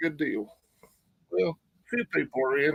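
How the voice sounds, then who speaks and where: Recorded dry and close with no echo, a man speaks with an Appalachian accent. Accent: Southern US (Appalachian). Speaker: prepper channel host. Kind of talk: live stream chat. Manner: yawning, sleepy.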